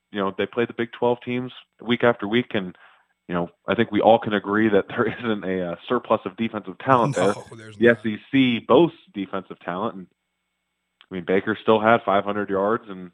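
With an unremarkable speaking voice, a man talks at a moderate pace with fairly even intonation and big swings in loudness. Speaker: co-host, former college quarterback. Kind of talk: casual sports podcast chat. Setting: phone call from Florida.

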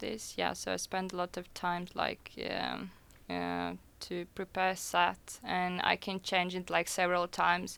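On a very clean recording with a silent background, a woman talks at a very slow pace. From Russia. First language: Russian. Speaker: DJ. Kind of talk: radio interview. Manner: hesitant, many fillers.

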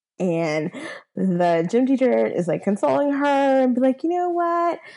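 A woman with an American accent speaks at a fairly slow pace in a dark, mellow tone, her pitch swinging very widely over a quiet background. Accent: valley girl accent, slight Southern. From US South. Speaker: podcast co-host. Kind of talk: casual chat.

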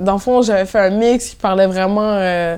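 A woman speaks at a medium pitch. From Montréal-Nord, Quebec, Haitian family. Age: 20s. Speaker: DJ and event programmer. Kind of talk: casual interview chat. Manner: energetic.

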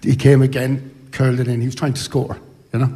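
Talking very fast with an Irish accent, a man has a medium-pitched, somewhat breathy voice with a dark, mellow tone. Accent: Irish (Sligo). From Ireland, Sligo. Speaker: retired footballer. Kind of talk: live interview at book launch. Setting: hotel ballroom with audience.

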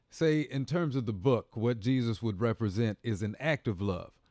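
Using lively intonation, a man with an American accent speaks at a fairly slow pace and medium pitch, his tone dark and mellow in a dry, close sound with no echo. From Indiana, US Midwest. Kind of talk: casual chat.

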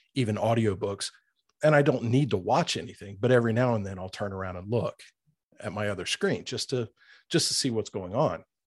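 The background is quiet as a man talks in a normal speaking voice. His pitch is medium and varies in an ordinary way. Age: 40s. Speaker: horror fiction narrator on video channel. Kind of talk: casual chat. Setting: video call.

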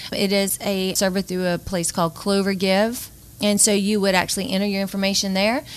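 Speaking at a fairly quick pace with a Louisiana accent, a woman keeps a monotone, flat intonation and very even loudness. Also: medium pitch for a woman. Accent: Southern US (Louisiana). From northern Louisiana (Bossier City). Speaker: nonprofit executive director. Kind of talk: radio interview.

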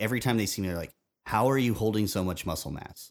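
The recording is very clean, with a silent background. A man speaks in a normal speaking voice, fairly low in pitch with ordinary pitch variation. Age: 30s. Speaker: podcast host. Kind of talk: casual chat.

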